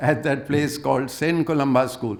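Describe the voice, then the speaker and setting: A man with a fairly high pitch and an Indian accent. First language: Hindi. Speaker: conference speaker. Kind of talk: personal anecdote in a panel talk. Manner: halting, with many fillers.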